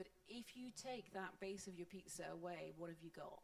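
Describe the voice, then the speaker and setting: A woman with a Scottish accent speaks with vocal fry and ordinary pitch variation. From Scotland. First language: Scots. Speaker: panelist on open source. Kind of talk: panel discussion.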